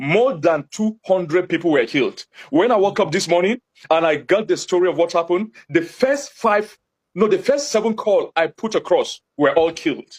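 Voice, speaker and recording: A man's high-pitched voice with a Nigerian accent, at a moderate pace, with very even loudness and a dry, close sound free of echo. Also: lively intonation. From Nigeria, Jos (Plateau State). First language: Hausa. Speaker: community spokesman. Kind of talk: TV interview. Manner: impassioned.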